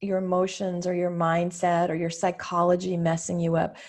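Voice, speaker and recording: Speaking at a moderate pace, a woman uses an ordinary speaking voice at medium pitch. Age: 50s. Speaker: business coach, former psychotherapist. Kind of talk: interview chat.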